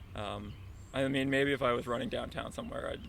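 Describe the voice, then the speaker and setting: A man speaks at a fairly quick pace, and audible room echo follows his words. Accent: Canadian. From Southern Ontario. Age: 30s. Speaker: marathon runner. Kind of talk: interview. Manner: casual, hesitant with fillers.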